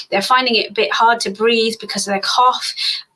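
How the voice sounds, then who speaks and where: The speech moves at a very fast pace with ordinary pitch variation over noticeable background noise. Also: woman. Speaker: doctor. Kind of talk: Q&A on a live stream. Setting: live stream on social media. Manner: animated.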